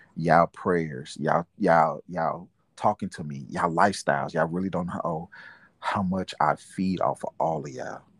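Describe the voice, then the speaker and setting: A man's very deep, low voice with vocal fry at a moderate pace, fairly even in intonation, dry and close with no echo, over a quiet background. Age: 40s. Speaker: father and aspiring minister. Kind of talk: casual interview. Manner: halting.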